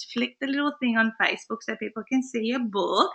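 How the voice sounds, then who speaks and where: A woman with an Australian accent talks at a fairly quick pace, her high pitch showing ordinary variation. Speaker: business coach and webinar host. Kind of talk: live webinar chat. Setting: live online broadcast from a friend's house. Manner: quieter than normal.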